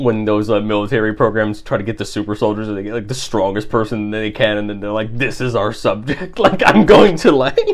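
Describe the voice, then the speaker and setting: A man speaks at a fairly low pitch with ordinary pitch variation. Noticeable background noise is present. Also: fairly quick pace, hardly any pauses. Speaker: podcast co-host. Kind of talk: casual chat.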